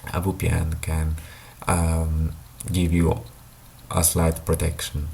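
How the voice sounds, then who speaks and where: A man with a non-native accent talks in a very deep, low pitch. Noticeable background noise and audible room echo fill the recording. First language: not English. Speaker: tech YouTuber. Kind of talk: explainer monologue. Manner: halting, many fillers.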